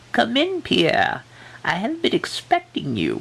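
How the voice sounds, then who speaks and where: A man puts on a character voice at extremely high pitch, speaking at a fairly slow pace. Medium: read story. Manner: ominous, slow, knowing.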